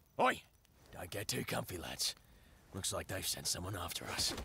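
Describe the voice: A man puts on a raspy character voice in an Australian accent, very deep and low in pitch, at a moderate pace.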